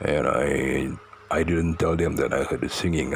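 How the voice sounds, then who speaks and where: With a Malaysian accent, a man talks at a moderate pace amid noticeable background noise. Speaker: storyteller. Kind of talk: personal storytelling. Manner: halting, many fillers and repetitions.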